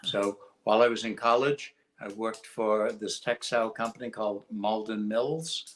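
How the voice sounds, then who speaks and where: A man with a Boston accent, at a moderate pace. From Massachusetts, Lawrence. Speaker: industry executive. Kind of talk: interview.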